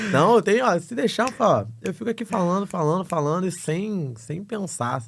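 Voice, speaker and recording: The man's voice is high-pitched. Lively intonation runs through his speech. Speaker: travel agency founder. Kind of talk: podcast interview. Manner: fast.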